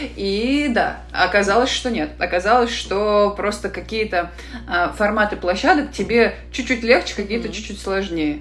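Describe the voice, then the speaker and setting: A woman is speaking. Noticeable background noise and audible room echo surround her. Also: moderate pace. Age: 30s. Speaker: sales expert for freelancers. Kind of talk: podcast interview.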